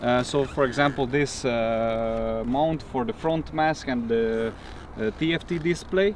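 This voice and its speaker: The speech moves at a fairly slow pace with ordinary pitch variation. The sound is dry with no echo, over light background noise. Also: man. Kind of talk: casual vlog chat. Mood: excited, cheerful. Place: open country.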